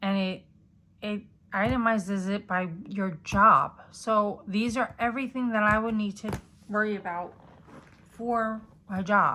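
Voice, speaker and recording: A woman with a bright, sharp tone and medium pitch speaks at a fairly slow pace with fairly even intonation and long, frequent pauses. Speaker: planner YouTuber. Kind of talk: product haul review. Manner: casual, uses many fillers.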